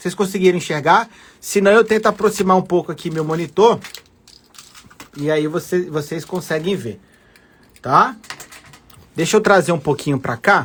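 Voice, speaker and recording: Pausing long and often, a man talks in a high pitch. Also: ordinary pitch variation, moderate pace. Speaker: law and public finance teacher for civil service exams. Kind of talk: live-streamed lecture. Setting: live stream from home desk.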